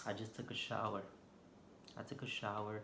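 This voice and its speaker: Audible room echo surrounds a man speaking with a Haitian accent. He talks at a fairly slow pace in a fairly low pitch. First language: Haitian Creole. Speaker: vlogger. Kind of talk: casual vlog monologue. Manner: unscripted, hesitant with fillers.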